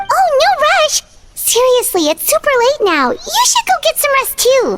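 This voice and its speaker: A squeaky, female-sounding put-on character voice at an extremely high pitch, with music in the background. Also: moderate pace. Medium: actual play. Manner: soft, caring.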